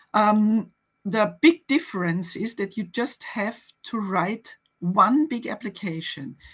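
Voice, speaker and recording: A woman speaks at a very slow pace in a somewhat breathy, fairly high voice. Her intonation is lively, and the background is quiet. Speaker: museum network officer, guest speaker; guest. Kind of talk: webinar presentation and conversation. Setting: online webinar.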